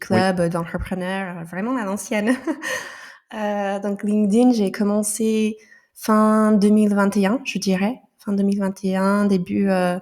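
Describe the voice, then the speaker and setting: A woman's medium-pitched voice, monotone and flat, at a very slow pace, on a very clean recording with a silent background. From United States. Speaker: entrepreneur, business founder. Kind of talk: podcast interview answer.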